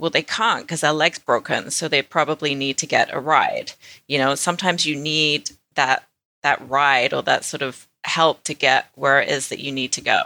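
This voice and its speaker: On a very clean recording with a silent background and a dry, close sound with no echo, a woman with a British accent speaks at a moderate pace in a very deep, low voice with a bright, sharp tone and fairly even intonation. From England. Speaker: podcast co-host. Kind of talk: casual chat.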